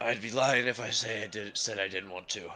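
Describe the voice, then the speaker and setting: Doing a put-on character voice, a man speaks raspy and fairly low at a fairly quick pace with fairly even intonation over clear background noise. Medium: actual play. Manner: blunt, dry.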